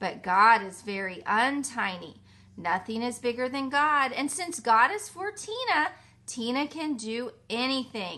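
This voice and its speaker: A woman talks at a high pitch in a warm, animated tone. Her voice is also bright and sharp. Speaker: teacher reading a story to children. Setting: video message to children at home. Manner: warm, animated and soothing, with playful emphasis on key words; slow, clear and rhythmic, pausing for the rhymes. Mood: warm, gentle, expressive.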